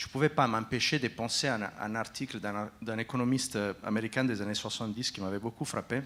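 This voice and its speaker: A man with an Italian accent talks at a moderate pace and medium pitch, with ordinary pitch variation. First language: Italian (speaking French). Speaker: foundation executive, panelist. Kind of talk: panel discussion. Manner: halting, frequent hesitations.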